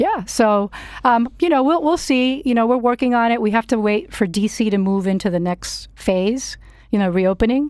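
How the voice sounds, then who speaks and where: Her loudness very even, a woman speaks at a moderate pace with a fairly high pitch and lively intonation. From Miami, US. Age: 50s. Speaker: Trump supporter guest. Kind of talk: casual radio interview. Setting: radio studio.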